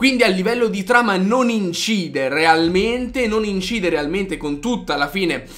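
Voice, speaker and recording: With hardly any pauses, a man with a high pitch talks at a moderate pace and lively intonation. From Italy. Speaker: YouTuber, anime film reviewer. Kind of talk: video review. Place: home room.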